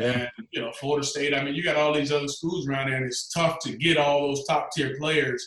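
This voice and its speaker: A man with a Southern US accent, fairly high pitch and monotone, flat intonation at a moderate pace. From US South, Georgia. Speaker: former quarterback and football analyst. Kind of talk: casual interview.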